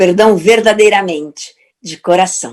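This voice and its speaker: A woman speaks very slowly at a medium pitch, with ordinary pitch variation. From Portugal. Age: 60s. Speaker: therapist and speaker. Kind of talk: motivational talk.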